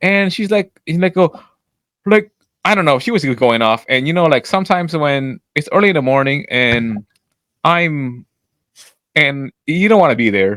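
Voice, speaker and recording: Loud and animated, a man with a fairly high pitch speaks at a moderate pace with very wide pitch swings and long, frequent pauses, the sound dry and close with no echo. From French Canadian. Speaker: podcast co-host. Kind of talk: casual chat.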